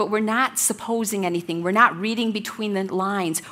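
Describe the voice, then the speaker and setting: Loud and fairly high in pitch, a woman speaks at a moderate pace with a bright, sharp tone and fairly even intonation. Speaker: Bible study teacher. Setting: room with women at tables, church study.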